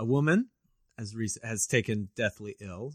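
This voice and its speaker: The clip has a normal speaking voice with ordinary pitch variation. The sound is dry and close, with no echo. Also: man. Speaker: pastor and podcast co-host. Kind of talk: casual banter chat.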